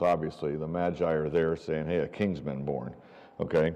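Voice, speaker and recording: Over a quiet background, a man speaks in a dark, mellow tone with vocal fry. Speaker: Bible class teacher. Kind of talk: Bible class lecture. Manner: loud; casual, many fillers.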